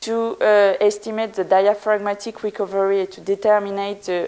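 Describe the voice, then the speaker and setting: A woman speaks at medium pitch and a moderate pace in a strong French accent, her intonation monotone and flat. Noticeable background noise sits behind her. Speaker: physician. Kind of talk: conference talk. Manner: halting, with fillers.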